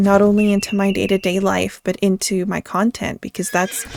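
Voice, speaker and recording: A woman speaks with a medium pitch. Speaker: gaming YouTuber. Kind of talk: casual gameplay commentary. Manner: halting, stuttering; self-correcting mid-sentence.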